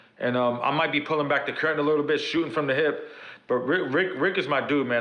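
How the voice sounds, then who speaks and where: Audible room echo surrounds a man with a New York accent and a fairly high pitch. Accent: Bronx New York. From New York City (South Bronx). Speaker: pro wrestler. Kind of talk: podcast interview.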